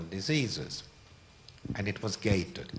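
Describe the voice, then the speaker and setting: A man with a Hungarian accent, fairly low in pitch, at a fairly slow pace with lively intonation. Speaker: art collector. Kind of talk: public talk.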